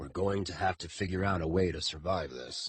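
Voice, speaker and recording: Using a put-on character voice, a man talks at a fairly quick pace with a very deep, low pitch. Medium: read story. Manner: dry, courtly.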